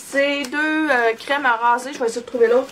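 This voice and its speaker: The woman talks at a fairly quick pace in a high-pitched voice. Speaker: beauty vlogger. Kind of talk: product review vlog. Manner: casual, many fillers.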